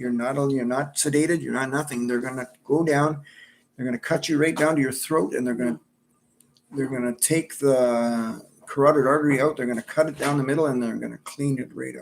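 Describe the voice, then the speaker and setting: A man speaks with an Ontario accent. His pace is fairly quick. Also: medium pitch for a man. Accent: Canadian English (Ontario). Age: 60s. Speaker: cancer survivor. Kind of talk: personal testimony. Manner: halting, with fillers and repetitions.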